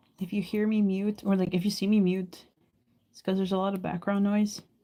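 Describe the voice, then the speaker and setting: Her tone is dark and mellow, and she sounds somewhat breathy. The woman keeps a medium pitch in monotone, flat intonation. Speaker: live streamer. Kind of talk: casual chat.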